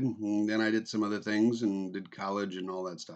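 There's a plain, everyday voice here, a man's, fairly low in pitch. His intonation is fairly even, and the background is quiet. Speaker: vlogger. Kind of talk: casual vlog chat. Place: home room. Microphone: webcam.

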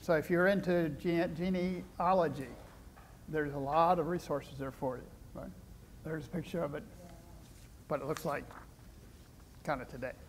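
A man with a Midwestern US accent talks at a moderate pace with fairly even intonation, big swings in loudness and long, frequent pauses, over light background noise. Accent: US Midwest. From Iowa, small town. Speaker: retired professor and former mayor; retired professor, former mayor. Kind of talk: lecture. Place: hall. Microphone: podium.

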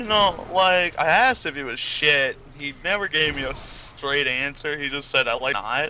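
In an ordinary speaking voice, a man talks at a moderate pace with a fairly high pitch and ordinary pitch variation. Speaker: gamer friend. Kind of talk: casual chat. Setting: voice chat. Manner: joking, swears freely.

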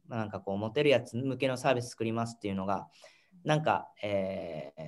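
Against a quiet background, the speaker talks at a very fast pace. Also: man. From Japan. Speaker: startup founder; guest. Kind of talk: interview. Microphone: video call.

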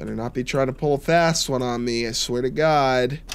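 A man talks at a moderate pace, with light background noise beneath him. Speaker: gaming YouTuber. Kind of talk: gameplay commentary. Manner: casual, chatty, joking. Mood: wary, joking.

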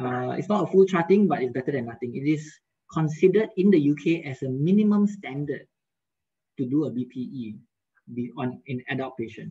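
A dark, mellow, somewhat breathy voice with lively intonation, a moderate pace and long, frequent pauses. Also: man, fairly high pitch for a man. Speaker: periodontist giving a webinar lecture. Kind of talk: lecture. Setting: video call.

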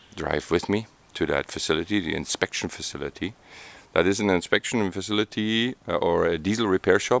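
A man's voice, dry and free of any echo. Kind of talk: casual vlog chat. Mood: nervous, amused. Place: street.

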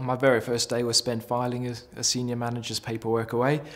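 Speaking at a fairly quick pace, a man has a medium pitch. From South Africa. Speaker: company manager. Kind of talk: employee testimonial. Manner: hesitant, with fillers. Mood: calm, positive. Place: office.

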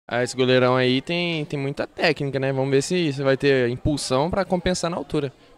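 A man with a Brazilian accent talks with hardly any pauses in a fairly high pitch. The sound is dry and close, with no echo. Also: fairly even intonation, fairly quick pace. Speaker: football commentator. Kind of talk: live commentary.

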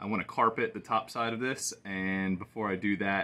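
A man's fairly low voice, bright and sharp in tone, with fairly even intonation. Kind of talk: casual vlog chat. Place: street. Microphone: phone near.

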